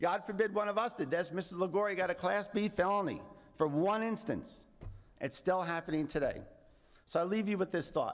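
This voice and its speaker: A man with an American accent talks at a high pitch. His pace is fairly quick, with ordinary pitch variation. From New York. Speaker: landowner association president; witness. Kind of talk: testimony. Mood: indignant, earnest. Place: hall. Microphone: podium.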